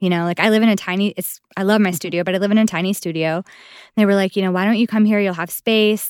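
On a very clean recording with a silent background, a woman talks very fast at a medium pitch with fairly even intonation. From Buffalo, New York, US. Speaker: dancer and voice actor. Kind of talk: casual chat.

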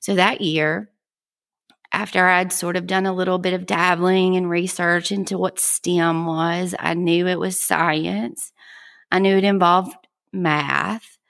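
With a Southern US accent, a woman speaks at a fairly low pitch and a fairly slow pace in a very clean recording with a silent background. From South Georgia, US South. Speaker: podcast host, educator. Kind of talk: podcast monologue, scripted-style intro. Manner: friendly, upbeat.

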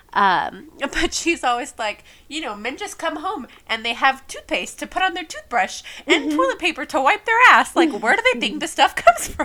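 Someone with an American accent speaks in a raised, projected voice at a moderate pace, with very wide pitch swings, over noticeable background noise. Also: woman, high pitch for a woman. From Texas, San Antonio. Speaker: podcast host. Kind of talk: casual chat.

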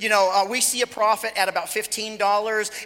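Over noticeable background noise, a man uses a raised, projected voice at a high pitch and a moderate pace. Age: 40s. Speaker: guest preacher. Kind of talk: sermon. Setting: church.

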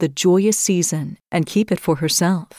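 Using a normal speaking voice, a woman talks at a moderate pace in a medium pitch with ordinary pitch variation, the sound dry and close with no echo on a very clean recording with a silent background. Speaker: podcast host and storyteller. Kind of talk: literary audiobook reading of a fairy tale, scripted narration. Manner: warm, measured storyteller's pacing with gentle expressive inflection; formal, ornate diction read with storybook cadence.

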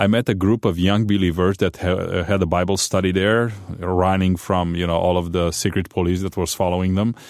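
With a Romanian accent, a man speaks in a very deep, low voice with monotone, flat intonation, very even loudness and hardly any pauses, on a very clean recording with a silent background. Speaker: pastor. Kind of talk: interview testimony. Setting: studio.

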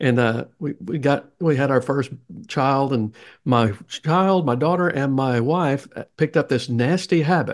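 Speaking at a fairly slow pace against a quiet background, a man with a Southern US accent has a fairly high pitch and ordinary pitch variation. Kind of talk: interview, conversational.

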